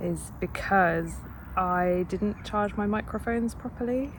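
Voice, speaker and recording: A woman is speaking. Her voice is quiet. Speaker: PhD student vlogger. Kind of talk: casual vlog monologue. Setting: outdoors in a park. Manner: hesitant, many fillers.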